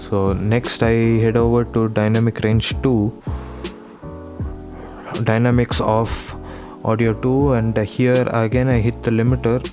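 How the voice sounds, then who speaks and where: Medium-pitched male speech with fairly even intonation, very even loudness and long, frequent pauses, music playing in the background. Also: fairly slow pace. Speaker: gaming video creator. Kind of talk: software tutorial narration. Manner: soft-spoken.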